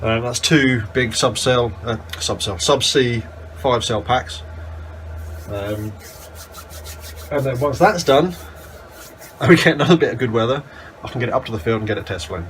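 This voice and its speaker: Against noticeable background noise, a man speaks with lively intonation at a moderate pace, broken by long, frequent pauses. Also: medium pitch for a man. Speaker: model aircraft hobbyist. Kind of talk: casual talk to camera.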